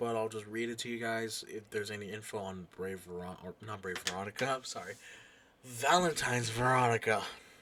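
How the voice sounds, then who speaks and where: This man uses a raspy, put-on character voice at medium pitch with ordinary pitch variation. He talks at a fairly quick pace. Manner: fast, rushed.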